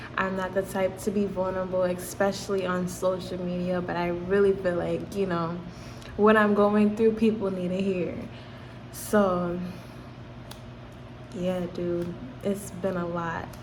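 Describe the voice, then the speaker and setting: A woman with an American accent talks at a fairly slow pace in a medium pitch with flat, monotone intonation and long, frequent pauses, while noticeable background noise and audible room echo fill the recording. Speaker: YouTuber. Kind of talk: personal vlog. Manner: halting, stuttering.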